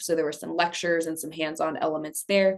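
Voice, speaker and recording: An ordinary speaking voice from a woman, fairly low in pitch with fairly even intonation, against a quiet background. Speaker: energy education program lead. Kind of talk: presentation. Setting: task force meeting.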